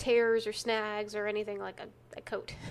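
Animated and fairly high-pitched, a woman speaks with a slight Texan accent. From Texas. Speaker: true crime podcast co-host. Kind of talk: casual chat, banter. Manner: animated, laughs often.

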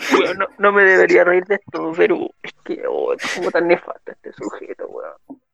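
With hardly any pauses, a man talks at a moderate pace with big swings in loudness in a dry, close sound with no echo. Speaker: podcast co-host. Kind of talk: casual chat.

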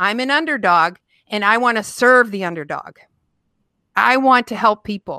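With an American accent, a woman speaks at a moderate pace in a fairly high pitch, her tone bright, sharp and energetic, her intonation lively, with long, frequent pauses in a dry, close sound with no echo on a very clean recording with a silent background. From Michigan, near Detroit. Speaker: former police officer and federal agent, nonprofit founder. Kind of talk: interview.

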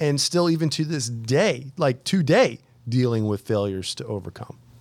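At a medium speed, an ordinary speaking voice delivers its words with lively intonation. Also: man. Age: 40s. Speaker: podcast host, army veteran and entrepreneur. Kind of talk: casual chat.

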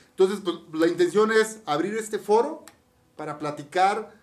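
At a moderate pace, a man talks in an animated tone with ordinary pitch variation. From Mexico, Campeche. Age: 50s. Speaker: podcast co-host, entrepreneur. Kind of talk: casual chat.

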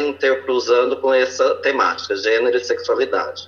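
A man talks at a medium speed while noticeable noise sounds in the background. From interior of São Paulo state, Brazil. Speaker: teacher and pedagogical coordinator. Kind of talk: panel introduction.

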